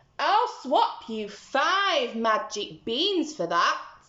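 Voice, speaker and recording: In a put-on character voice, a woman speaks very slowly at a high pitch, croaky, with very wide pitch swings. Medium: read story.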